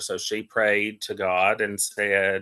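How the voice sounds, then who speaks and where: Bright and sharp in tone, a man's fairly low voice carries a strong Appalachian accent. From Appalachia, Western North Carolina. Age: 30s. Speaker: interfaith minister and Reiki healer. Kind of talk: casual interview.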